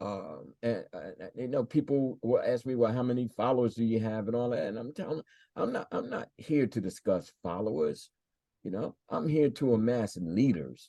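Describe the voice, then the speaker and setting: A man speaks at medium pitch and a moderate pace in a dark, mellow tone. His intonation is lively, and the background is quiet. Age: 70s. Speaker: spiritual teacher and priest. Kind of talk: interview. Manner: halting, many repetitions.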